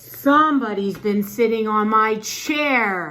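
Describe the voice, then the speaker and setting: Using a put-on character voice, a woman speaks at a very slow pace with a fairly high pitch and ordinary pitch variation. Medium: read story.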